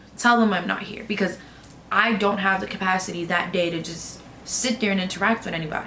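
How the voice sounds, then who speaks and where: A woman speaks fairly quickly at medium pitch with fairly even intonation. Room echo is audible, along with noticeable background noise. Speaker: law office worker. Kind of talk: casual chat.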